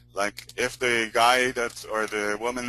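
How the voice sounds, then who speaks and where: This man talks at a fairly slow pace with a strong non-native accent. His medium-pitched voice has a bright, sharp tone, and the sound is dry and close with no echo. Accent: non-American accent, strong. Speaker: search engine optimization expert. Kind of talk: webinar teaching call. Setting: recorded conference call. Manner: hesitant, many fillers.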